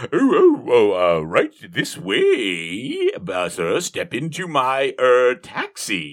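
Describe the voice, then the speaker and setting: The speaker uses a put-on character voice. Delivery is very slow. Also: man. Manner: disguised voice; overly smooth, trying to sound different.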